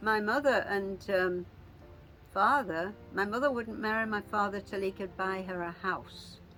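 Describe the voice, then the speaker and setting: Music plays in the background as a woman speaks at a fairly slow pace, her medium pitch moving with ordinary variation. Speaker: family elder sharing memories. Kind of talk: family oral history interview. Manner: halting.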